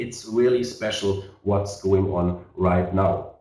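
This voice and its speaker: Audible room echo around a man's voice, fairly low in pitch. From Germany. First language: German. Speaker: network marketing leader. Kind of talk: sales webinar presentation. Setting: online webinar. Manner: halting, many fillers.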